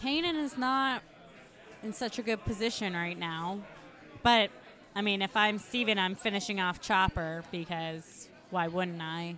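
Over crowd noise in the background, a speaker with a bright, sharp, relaxed tone and lively intonation talks at a fairly slow pace with long, frequent pauses. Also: woman, medium pitch for a woman. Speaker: esports commentator. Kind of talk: live sports-style commentary. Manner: relaxed, engaged, conversational play-by-play.

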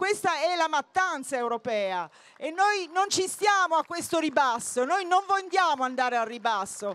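A woman with an extremely high pitch and very wide pitch swings speaks at a moderate pace in a dry sound with no echo. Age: 50s. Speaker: political activist; speaker. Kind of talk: campaign speech. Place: open country. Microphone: handheld.

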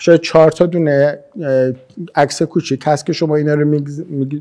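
A man with an Isfahani accent and a dark, mellow tone, against a quiet background. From Isfahan, Iran. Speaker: maxillofacial surgeon. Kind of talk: interview answer. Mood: calm, friendly. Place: home room.

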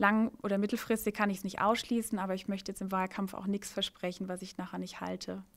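Against a quiet background, a woman races along very fast in a flat monotone with hardly any pauses. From Baden, Germany. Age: 30s. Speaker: mayoral candidate, lawyer; candidate. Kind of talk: rapid-fire interview. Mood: cheerful, smiling. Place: office. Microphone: handheld.

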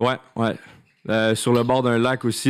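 A man speaks with a Quebec accent against a quiet background. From Quebec, Laurentides. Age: 20s. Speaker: content creator. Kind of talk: casual chat. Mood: relaxed, cheerful. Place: studio. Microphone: studio mic.

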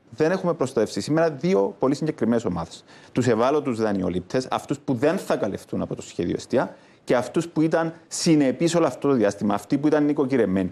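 A man's fairly high, dark, mellow voice moves at a fairly quick pace with very wide pitch swings. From Cyprus. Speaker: economist; guest, politician. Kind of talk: TV panel debate. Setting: TV studio. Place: studio. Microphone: lapel.

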